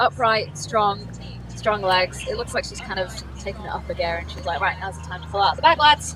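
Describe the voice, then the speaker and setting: Noticeable background noise sits behind a woman's voice. She talks at a fairly quick pace, with big swings in loudness. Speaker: race commentator. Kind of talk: live commentary.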